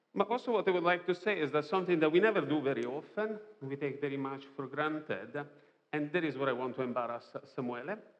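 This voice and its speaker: Speaking at a very fast pace in a strong non-native accent, a man uses lively intonation at a fairly high pitch. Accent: strong foreign accent in English. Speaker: preacher. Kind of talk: sermon. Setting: church.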